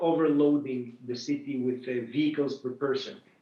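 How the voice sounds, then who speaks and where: A man's fairly high voice at a fairly slow pace. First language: not English. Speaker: autonomous driving executive. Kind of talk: panel discussion. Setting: video call. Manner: halting, many fillers.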